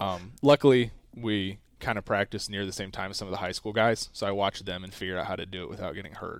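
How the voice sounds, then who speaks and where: With an American accent, a man talks at a very fast pace with hardly any pauses, his fairly low pitch held in fairly even intonation while his loudness swings widely, all on a very clean recording over a silent background. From US South. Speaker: college athlete. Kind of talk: casual interview.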